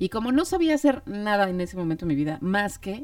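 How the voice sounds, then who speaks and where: This is a woman speaking. Her pace is fairly quick. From Mexico City. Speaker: podcast co-host, mother of the other host. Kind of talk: casual chat.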